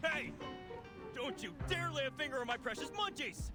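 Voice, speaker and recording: A man's put-on character voice, shrill, raised and projected, at a moderate pace over loud music in the background. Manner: indignant, protective.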